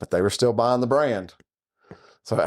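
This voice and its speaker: A man talks with fairly even intonation. The background is silent and the recording very clean. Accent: Southern. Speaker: podcast host. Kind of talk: casual chat. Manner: conversational.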